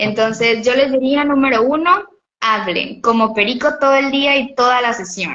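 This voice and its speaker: Moderate speed and normal pitch movement from a woman with a high voice. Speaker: physiotherapist. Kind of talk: interview. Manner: talkative, expressive.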